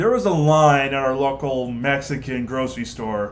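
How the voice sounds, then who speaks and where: Audible room echo around a man speaking at a fairly slow pace with a fairly high pitch. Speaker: podcast guest. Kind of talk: casual chat.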